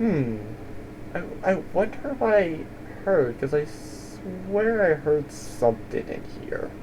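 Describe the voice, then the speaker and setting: A put-on character voice at a middle pitch moves at a very slow pace over loud background noise. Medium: actual play.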